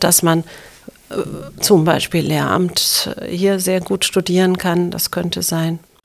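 A woman speaks at a very slow pace in a fairly low, monotone voice with flat intonation. Noticeable background noise runs underneath. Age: 50s. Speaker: university president. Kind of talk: interview.

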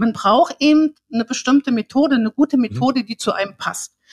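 Lively intonation at a moderate pace, in a dry, close sound with no echo. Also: woman. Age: 60s. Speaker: learning therapist. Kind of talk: interview. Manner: halting.

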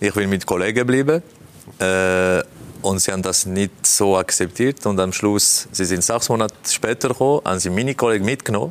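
A man with a fairly low pitch talks at a fairly quick pace with ordinary pitch variation and very even loudness. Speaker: football pundit and former player. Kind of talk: panel interview. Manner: halting.

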